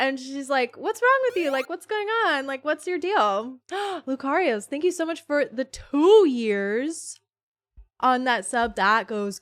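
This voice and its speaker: A loud woman's voice at a high pitch and fairly slow pace, on a very clean recording with a silent background. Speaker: streamer. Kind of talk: casual chat. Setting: live stream. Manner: chatty.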